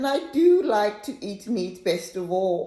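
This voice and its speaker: Using a put-on character voice, a woman sounds whiny, moving through very wide pitch swings at a very slow pace. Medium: read story. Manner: whining, stammering.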